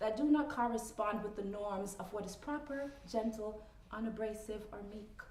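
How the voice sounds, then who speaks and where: Through noticeable background noise and audible room echo, a woman with a Jamaican accent speaks fairly slowly at a fairly high pitch with ordinary variation. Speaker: poet. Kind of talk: spoken word poetry performance.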